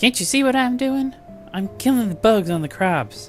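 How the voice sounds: A man's high-pitched put-on character voice with lively intonation and clear music in the background. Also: moderate pace.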